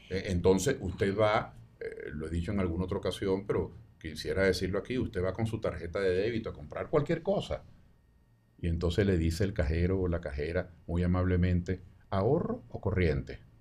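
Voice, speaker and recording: Somewhat breathy and very deep, a man's voice moves at a fairly quick pace with ordinary pitch variation. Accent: Venezuelan. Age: 70s. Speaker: sociologist, presidential candidate. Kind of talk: interview answer.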